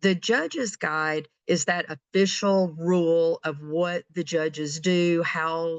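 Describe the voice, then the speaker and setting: A woman with a plain, everyday voice speaks fairly low, keeping her intonation fairly even. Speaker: webinar presenter, regional support manager. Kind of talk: webinar presentation. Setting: online webinar.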